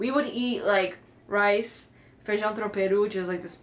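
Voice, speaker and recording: Over noticeable background noise, a woman speaks at a medium pitch and a moderate pace in an American accent. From Brazilian family, raised in the US. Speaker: podcast co-host. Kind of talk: casual chat.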